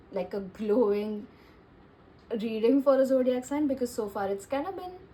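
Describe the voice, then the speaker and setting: This woman's voice sits at a high pitch with lively intonation. Noticeable background noise can be heard. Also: moderate pace. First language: not English. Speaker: tarot reader. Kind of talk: tarot reading monologue. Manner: casual, many fillers.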